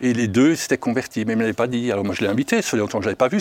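At a very fast pace, a man talks with lively intonation and medium pitch. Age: 60s. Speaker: foster parent with a conversion testimony. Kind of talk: testimony.

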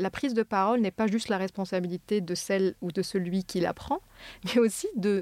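At a moderate pace and medium pitch, a woman is heard in a dry, close sound with no echo, on a very clean recording with a silent background. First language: not French (speaking French). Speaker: neuroscientist. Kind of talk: interview.

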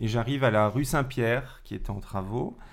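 With an unremarkable speaking voice, a man talks at a moderate pace, medium in pitch and with ordinary pitch variation. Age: 40s. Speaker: school teacher, drama teacher. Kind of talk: casual chat.

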